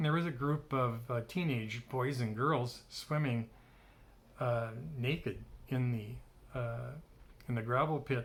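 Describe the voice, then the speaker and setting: A man with an American accent sounds somewhat breathy, his loudness very even and his intonation fairly even. He leaves long, frequent pauses. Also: medium pitch for a man. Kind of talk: casual talk to camera. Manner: conversational, reminiscing.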